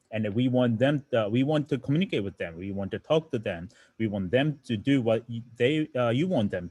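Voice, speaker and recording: Speaking at a fairly quick pace, a man with a Japanese accent uses lively intonation. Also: medium pitch for a man. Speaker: robotics teacher. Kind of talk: lecture. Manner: halting.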